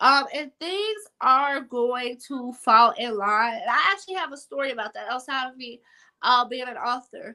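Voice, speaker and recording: Projecting her voice at a high pitch, a woman speaks at a moderate pace with lively intonation. Her tone is bright and sharp, with big swings in loudness. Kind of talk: interview.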